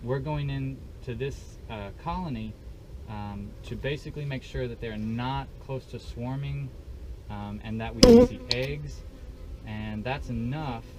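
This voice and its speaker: Someone speaks at a fairly slow pace, with audible room echo and noticeable background noise. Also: man. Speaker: beekeeper. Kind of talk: tutorial.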